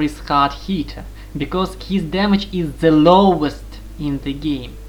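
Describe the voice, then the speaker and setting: Fairly slow speech in a non-native accent, over noticeable background noise. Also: woman. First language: not English. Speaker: video game guide maker. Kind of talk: tutorial.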